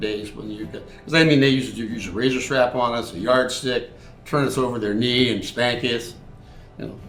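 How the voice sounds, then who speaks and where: A man's medium-pitched voice at a fairly quick pace, fairly even in intonation, with big swings in loudness and audible room echo. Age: 70s. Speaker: army veteran. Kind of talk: interview.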